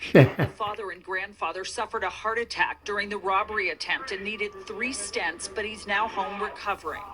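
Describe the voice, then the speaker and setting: Talking at a fairly quick pace with hardly any pauses, a woman uses ordinary pitch variation over noticeable background noise. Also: medium pitch for a woman. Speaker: TV news reporter. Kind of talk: TV news report.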